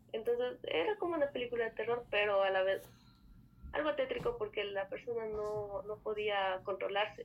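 Her fairly high pitch, a normal speaking voice, carries ordinary pitch variation as the woman talks at a moderate pace. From Ecuador, Andean highlands (Otavalo). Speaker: guest telling a paranormal story. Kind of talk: testimony.

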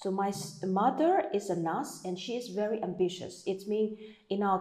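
With a Burmese accent, a woman speaks at medium pitch and a moderate pace, using ordinary pitch variation. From Myanmar. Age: 40s. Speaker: meditation coach. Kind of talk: interview.

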